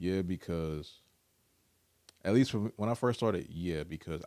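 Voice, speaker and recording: A man's very deep, low voice with a dark, mellow tone and ordinary pitch variation, on a very clean recording with a silent background. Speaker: rapper and audio engineer. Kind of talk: casual chat.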